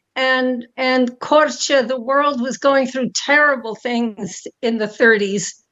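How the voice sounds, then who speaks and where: A woman speaks in a New York accent at a high pitch. Her pace is fairly slow and her intonation fairly even. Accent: New York American. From US, New York City. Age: 90s. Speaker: foundation founder and donor. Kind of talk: interview. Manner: halting.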